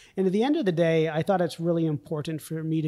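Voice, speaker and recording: A man's dark, mellow tone, fairly high in pitch, with fairly even intonation and an American accent. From US, rural Vermont. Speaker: company CEO. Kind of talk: interview.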